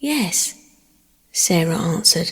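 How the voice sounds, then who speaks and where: A woman speaks in an English accent, somewhat breathy. Her pitch swings very widely. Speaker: audiobook narrator. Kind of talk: sleep story.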